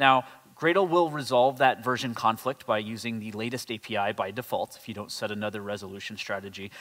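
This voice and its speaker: A man at a fairly quick pace, with big swings in loudness and ordinary pitch variation. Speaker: conference presenter. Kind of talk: technical talk. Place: hall.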